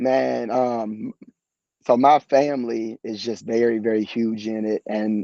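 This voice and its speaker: A man with an American accent speaks at medium pitch in a dark, mellow tone. His intonation is fairly even, and the sound is dry and close with no echo. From southern Ohio (Ripley, on the Ohio River). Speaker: college basketball assistant coach. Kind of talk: casual interview. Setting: live video podcast. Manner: halting, many fillers and repetitions.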